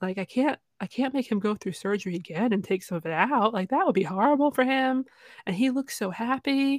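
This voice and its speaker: Her high voice swings very widely in pitch as this woman speaks at a moderate pace. The sound is dry and close with no echo, in a very clean recording with a silent background. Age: 30s. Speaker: plush toy owner and social media creator. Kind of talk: casual chat.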